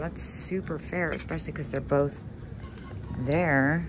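A woman speaks with music in the background. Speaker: vintage reseller. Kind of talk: casual vlog chat. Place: shop. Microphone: phone near.

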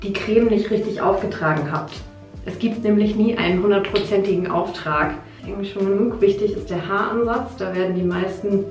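A woman talks at a moderate pace with fairly even intonation. There is audible room echo and clear music in the background. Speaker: beauty vlogger. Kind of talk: casual vlog chat, product tutorial. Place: bathroom. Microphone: phone near.

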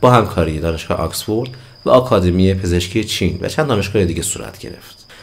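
Very fast, somewhat breathy speech with lively intonation. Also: man. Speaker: health educator / doctor; health educator. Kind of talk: educational talk to camera. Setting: home recording at night. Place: studio.

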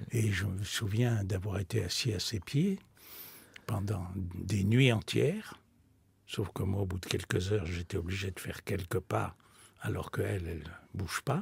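A man's somewhat breathy, fairly low voice at a fairly slow pace, with ordinary pitch variation and a dry sound with no echo. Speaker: spiritual teacher and author; spiritual teacher. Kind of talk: radio interview. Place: studio.

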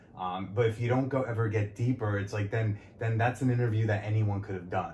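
A man with a fairly low pitch speaks at a fairly quick pace, somewhat breathy. His intonation stays fairly even. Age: 30s. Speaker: podcast host and comedian. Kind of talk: casual interview chat.

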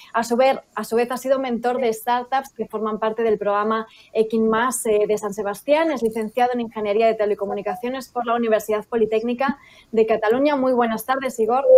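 A woman with a fairly high voice rattles along at a very fast pace in a flat monotone. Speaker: event presenter. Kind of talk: scripted introduction. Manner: formal. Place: home room.

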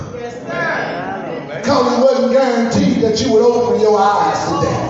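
Over music in the background, a man talks with ordinary pitch variation amid strong room echo. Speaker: pastor. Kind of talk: sermon. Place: church. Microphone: pa.

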